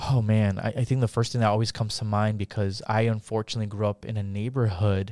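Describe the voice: A man with an American accent talks at a fairly quick pace, his pitch fairly low and showing little movement. His tone is dark and mellow.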